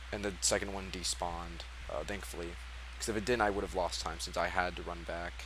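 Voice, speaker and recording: Over audible room echo, a man with a very deep, low pitch and vocal fry talks at a fairly quick pace with lively intonation. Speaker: speedrunner. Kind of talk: post-run commentary. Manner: fast; casual, hesitant with fillers.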